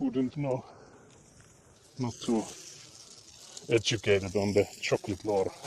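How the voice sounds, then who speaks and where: A man with a Finnish accent talks at a fairly slow pace, with long, frequent pauses. His pitch is medium with ordinary variation, and noticeable background noise is present. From Finland. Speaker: livestreamer. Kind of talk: casual chat.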